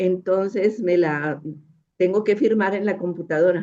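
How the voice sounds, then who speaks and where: A dark, mellow tone comes through. The intonation is fairly even. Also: woman. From northern Mexico, Monterrey. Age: 80s+. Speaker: audience member asking a question. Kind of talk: question from audience.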